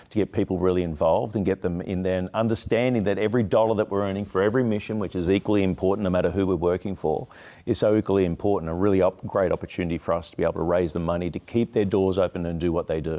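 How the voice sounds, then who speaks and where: A man's very deep, low, dark and mellow voice at a very fast pace with hardly any pauses, in a very clean recording with a silent background. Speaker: charity auctioneer. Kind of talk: interview answer. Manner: upbeat, energetic.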